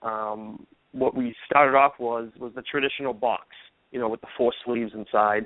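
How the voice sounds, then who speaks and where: In a Boston accent, a man speaks at a moderate pace and medium pitch. His intonation stays fairly even. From Boston, US. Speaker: golf ball company founder. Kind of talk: radio interview.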